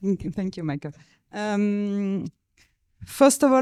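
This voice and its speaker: On a very clean, dry, close recording with a silent background and no echo, a woman with a French accent speaks in a dark, mellow, medium-pitched voice. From France. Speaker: agricultural researcher. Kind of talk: conference panel talk.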